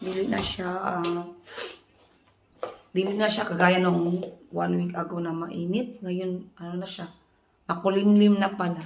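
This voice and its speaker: Audible room echo surrounds a woman with a medium pitch and monotone, flat intonation. She talks at a fairly slow pace with long, frequent pauses. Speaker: vlogger. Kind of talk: casual vlog chat.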